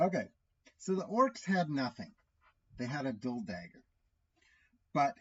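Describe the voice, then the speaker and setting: A man talks at a fairly slow pace with long, frequent pauses. His pitch swings very widely, and his voice is somewhat breathy. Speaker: solo tabletop RPG player and YouTuber. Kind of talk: solo game playthrough commentary. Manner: halting, self-correcting; casual, conversational.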